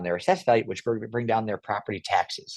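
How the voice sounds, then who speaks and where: Speaking at a very fast pace, a man with an American accent and a medium pitch comes across in a dry, close sound with no echo against a quiet background. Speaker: property appraiser and politician. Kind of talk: interview. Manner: animated.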